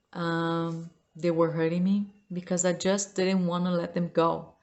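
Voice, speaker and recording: This woman has a fairly low pitch. She talks at a fairly slow pace. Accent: non-native. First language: not English. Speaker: self-help vlogger. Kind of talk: unscripted personal talk to camera. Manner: halting.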